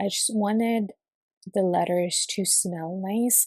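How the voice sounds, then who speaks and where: A very slow, somewhat breathy woman's voice, dark and mellow in tone, in a dry, close sound with no echo. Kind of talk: casual talk to camera. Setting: early morning home recording with birds chirping.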